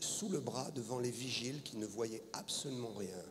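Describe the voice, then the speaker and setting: A man speaks at a medium pitch. The room echo is audible and there is noticeable background noise. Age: 60s. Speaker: pastor. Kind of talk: sermon. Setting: stage with audience.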